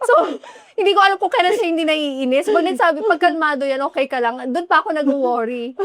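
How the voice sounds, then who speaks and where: The speech moves at a fairly quick pace with lively intonation, over noticeable background noise. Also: woman, extremely high pitch for a woman. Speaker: podcast co-host. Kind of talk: casual chat.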